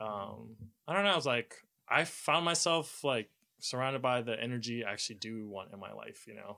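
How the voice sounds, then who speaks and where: In a very clean recording with a silent background, a man of medium pitch talks fairly quickly in a bright, sharp tone, his intonation lively and his loudness swinging widely. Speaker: returning guest, overtime worker. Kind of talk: casual chat. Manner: subdued, not very enthusiastic.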